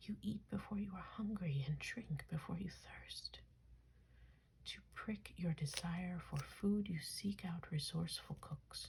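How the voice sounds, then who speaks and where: Soft-spoken, the speaker talks at a fairly slow pace. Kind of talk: ASMR soft spoken reading of mythology. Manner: soft-spoken, relaxing.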